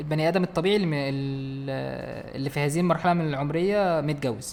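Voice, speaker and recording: Pitch moves in an ordinary way. The delivery is fairly quick. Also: man, fairly high pitch for a man. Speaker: podcast co-host. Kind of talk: casual chat. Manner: louder, energetic.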